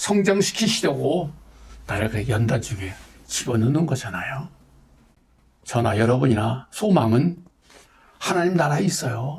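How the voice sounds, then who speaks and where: A man talks at a moderate pace, his fairly high voice somewhat breathy and his intonation lively. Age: 70s. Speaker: pastor. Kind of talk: testimony. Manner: earnest, exhortative.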